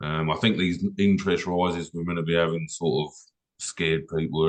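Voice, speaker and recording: A man speaks in an English accent with very deep, low pitch. His intonation is monotone and flat. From England. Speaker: car detailer, business owner. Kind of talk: casual chat.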